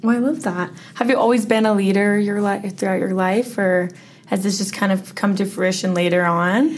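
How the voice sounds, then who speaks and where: Audible room echo surrounds a woman whose loudness stays very even and whose pitch varies in an ordinary way. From Henderson, Nevada. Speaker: podcast host. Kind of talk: interview.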